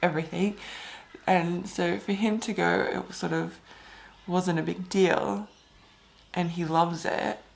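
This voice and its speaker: This woman speaks at a fairly slow pace with an Australian accent, her fairly low pitch showing ordinary variation. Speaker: fitness coach. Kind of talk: casual vlog talk.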